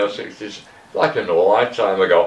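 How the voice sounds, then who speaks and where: A man talks at a fairly quick pace with a Manchester accent. Noticeable background noise runs behind him. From northern England, Middleton near Manchester. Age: 60s. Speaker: former addict and tattoo artist. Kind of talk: interview testimony.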